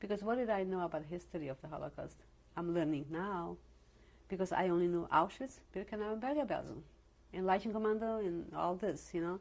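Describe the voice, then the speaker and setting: At a very fast pace, a woman speaks at medium pitch with ordinary pitch variation. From Slovakia. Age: 70s. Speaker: Holocaust survivor. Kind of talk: oral history interview. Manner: halting.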